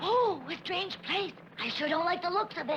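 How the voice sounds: In a cartoonish character voice pitched extremely high, an anxious tone comes through at a moderate pace over clear background noise.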